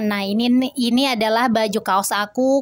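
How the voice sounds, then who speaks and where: This woman's voice is fairly high. Her pitch varies in an ordinary way. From Indonesia. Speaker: homemaker vlogger and Quran teacher for children. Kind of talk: casual vlog narration. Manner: friendly, chatty. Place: home room. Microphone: camera far.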